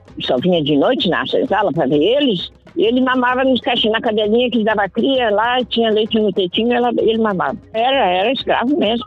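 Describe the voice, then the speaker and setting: A woman at a fairly quick pace with hardly any pauses, music in the background. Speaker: adult literacy student. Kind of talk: interview answer.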